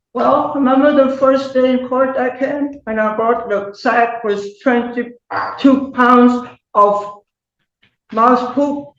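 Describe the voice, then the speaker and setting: A woman talks at a very slow pace with a high pitch and fairly even intonation. Audible room echo surrounds her voice. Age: 80s+. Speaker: tenant defendant. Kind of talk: court testimony.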